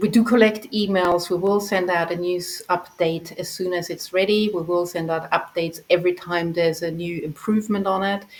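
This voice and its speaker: With a non-native accent, a woman speaks at a moderate pace in a medium-pitched voice. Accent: noticeable non-native. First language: not English. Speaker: project founder handling funding. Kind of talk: community call presentation. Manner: hesitant, with fillers.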